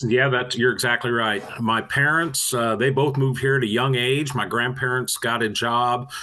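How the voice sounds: At a moderate pace, a man speaks at medium pitch with fairly even intonation.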